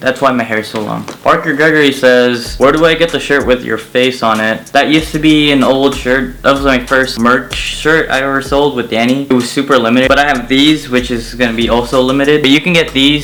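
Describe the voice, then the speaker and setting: Over music in the background, a man with a medium pitch talks at a fairly quick pace with hardly any pauses and fairly even intonation. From Philippines (Manila). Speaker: YouTuber. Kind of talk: casual Q&A vlog. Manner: casual, halting.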